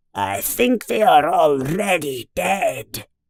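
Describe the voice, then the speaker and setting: Using a put-on character voice, a man hisses and growls at a high pitch and a very slow pace. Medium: read story. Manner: hissing.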